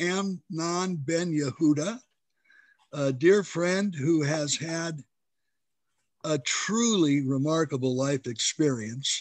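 The pace is very slow. The intonation stays lively throughout. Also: man. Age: 70s. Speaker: interviewer. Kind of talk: interview. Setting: video call.

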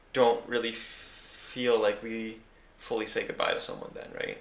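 A man at a fairly slow pace, with audible room echo and noticeable background noise. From Costa Rica and Canada. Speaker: podcast host. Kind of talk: casual chat.

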